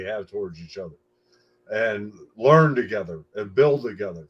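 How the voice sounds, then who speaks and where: This is an unremarkable speaking voice from a man at a medium pitch and a moderate pace. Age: 60s. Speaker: foundation spokesperson. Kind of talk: panel discussion remarks.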